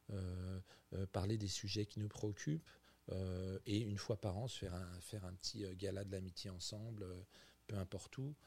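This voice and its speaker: A somewhat breathy man's voice carries fairly even intonation. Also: moderate pace. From France, Burgundy. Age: 50s. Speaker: executive chef. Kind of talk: interview. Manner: halting, many repetitions.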